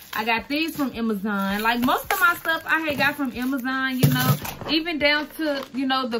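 Over loud background noise, a woman with a high pitch raises and projects her voice at a moderate pace. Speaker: content creator, custom shoe maker. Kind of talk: casual tutorial vlog. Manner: casual, chatty. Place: home room. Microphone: phone near.

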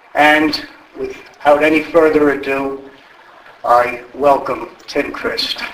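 A man with a fairly high pitch speaks at a very slow pace. His intonation is fairly even, and the room echo is audible. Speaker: event moderator for a history society. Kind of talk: event introduction. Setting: stage with audience. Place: hall.

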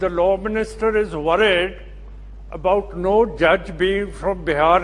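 At a very slow pace, a man speaks. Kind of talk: parliamentary speech. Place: hall. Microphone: podium.

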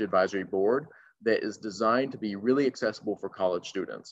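With an American accent, a man speaks at a very fast pace, using medium pitch and ordinary pitch variation over a quiet background. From North Carolina. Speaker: voter engagement organizer. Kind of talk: panel discussion. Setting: video call.

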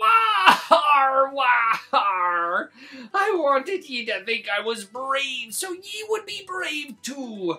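A put-on character voice swoops through very wide pitch swings. Faint music plays in the background. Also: man. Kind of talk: read-aloud story for kids. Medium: read story. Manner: gruff, blustery.

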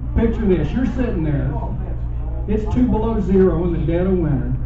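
A man speaks with a Southern US accent. Noticeable background noise and audible room echo surround his voice. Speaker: stand-up comedian. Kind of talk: stand-up comedy set. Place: stage.

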